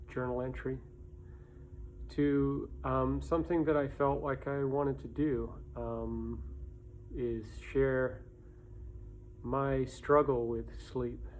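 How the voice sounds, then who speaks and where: Speaking at a very slow pace with long, frequent pauses, a man's voice carries audible room echo. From England. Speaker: vlogger sharing personal story. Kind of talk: personal vlog monologue. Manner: halting.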